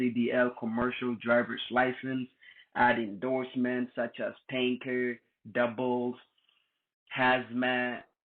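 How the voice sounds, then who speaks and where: A medium-pitched man speaks at a very slow pace. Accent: non-native. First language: not English. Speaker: tutorial youtuber. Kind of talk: tutorial. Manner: casual.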